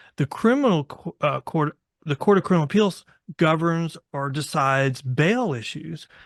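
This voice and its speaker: With a Texan accent, a man talks at a moderate pace, his fairly high voice full of lively intonation. The recording is very clean, with a silent background and a dry, close sound with no echo. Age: 60s. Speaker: bail attorney. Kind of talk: interview.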